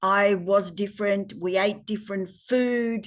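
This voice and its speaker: A woman with an Australian accent, her medium pitch and fairly even intonation carried at a very slow pace. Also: quiet background. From Australia, Parkes NSW. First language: Polish. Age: 70s. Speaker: interviewee, daughter of migrants. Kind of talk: interview.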